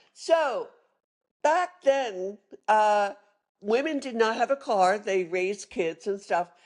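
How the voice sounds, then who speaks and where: With a Philadelphia accent, a woman talks at a very slow pace and fairly high pitch, using lively intonation and long, frequent pauses. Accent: Philadelphia-area American. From Philadelphia area, Pennsylvania (Norristown). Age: 70s. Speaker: retired sommelier. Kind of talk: interview storytelling.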